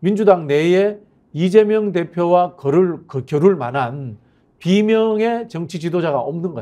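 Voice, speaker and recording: A man with a high-pitched yet dark, mellow tone speaks at a fairly slow pace with lively intonation and big swings in loudness. The background is quiet. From South Korea. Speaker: political commentator. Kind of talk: political talk show interview. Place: studio. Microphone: lapel.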